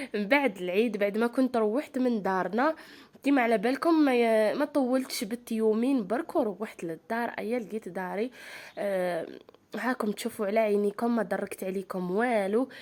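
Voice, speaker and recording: A woman with an Algerian accent speaks at a moderate pace, fairly high in pitch with ordinary pitch variation. The recording is very clean, with a silent background. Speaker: lifestyle vlogger. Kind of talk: vlog chat to viewers. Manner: animated.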